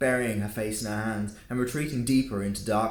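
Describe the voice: The speaker reads aloud plainly. It is straightforward reading.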